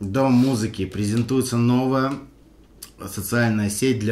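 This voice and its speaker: At a fairly slow pace, a man with a medium pitch speaks with fairly even intonation amid audible room echo. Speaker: rapper, member of a hip-hop crew. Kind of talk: casual interview, reminiscing. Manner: halting, full of fillers and restarts.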